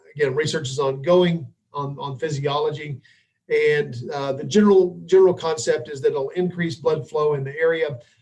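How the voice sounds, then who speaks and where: Somewhat breathy, this voice moves at a moderate pace. Its intonation stays fairly even. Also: man. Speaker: physical therapist and dry needling instructor. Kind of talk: webinar lecture. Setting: live online webinar. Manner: hesitant, many fillers.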